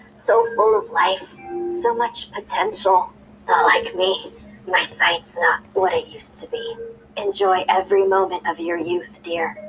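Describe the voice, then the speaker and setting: A croaky, put-on character voice that sounds female, medium in pitch and fairly slow, with faint music in the background. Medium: read story.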